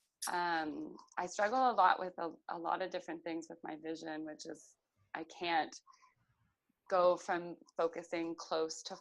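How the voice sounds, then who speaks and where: Over a quiet background, a woman talks at a moderate pace in a fairly low pitch. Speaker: concussion patient sharing her recovery. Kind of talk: interview testimony. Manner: halting, searching for words with fillers; hesitant with frequent um.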